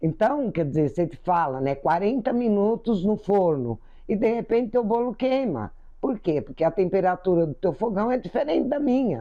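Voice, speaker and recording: Her pitch swings very widely around a medium level as a woman speaks at a moderate pace. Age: 70s. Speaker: spiritual teacher. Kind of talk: spiritual talk. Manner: conversational.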